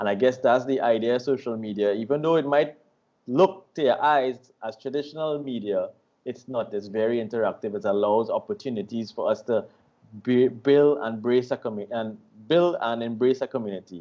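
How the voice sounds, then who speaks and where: Fairly brisk and with typical pitch movement, an unremarkable speaking voice talks on. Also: man, medium pitch for a man. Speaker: online radio host. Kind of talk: interview questions, casual talk.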